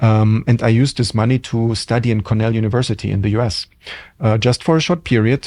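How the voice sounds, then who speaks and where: With a German accent, a man speaks at a fairly quick pace in a dark, mellow tone at medium pitch, with fairly even intonation over a quiet background. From Germany. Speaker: hotel general manager. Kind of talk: interview. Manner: hesitant, many fillers.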